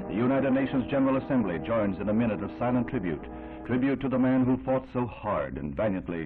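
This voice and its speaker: Over music in the background, a man speaks at a very fast pace in a solemn, dramatic tone. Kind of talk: 1960s newsreel narration. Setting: vintage newsreel recording. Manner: solemn, dramatic, grave.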